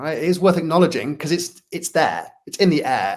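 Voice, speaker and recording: A man with a Manchester accent speaks at a fairly quick pace. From northern England, Manchester. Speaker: workplace culture consultant, speaker. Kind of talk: interview.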